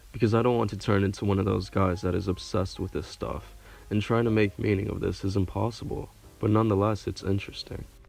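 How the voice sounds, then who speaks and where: Music plays in the background as a man talks very fast in a fairly low pitch with monotone, flat intonation. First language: not English. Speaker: online video creator. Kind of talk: casual monologue with reading aloud.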